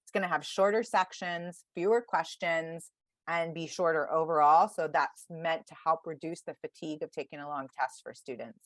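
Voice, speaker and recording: Against a quiet background, a woman with an ordinary speaking voice and fairly low pitch speaks at a moderate pace with ordinary pitch variation and big swings in loudness, in a dry, close sound with no echo. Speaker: test prep advisor. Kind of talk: virtual workshop presentation.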